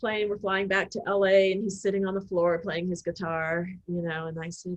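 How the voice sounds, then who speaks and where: At a moderate pace, a woman with a medium pitch speaks with fairly even intonation. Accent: Oklahoma. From Oklahoma. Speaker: film producer. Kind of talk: interview conversation. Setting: video call.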